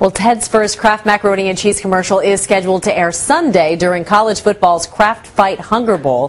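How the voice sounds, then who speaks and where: A woman talks at a medium pitch and a fairly quick pace. Noticeable background noise runs underneath. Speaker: TV news correspondent. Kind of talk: TV news report.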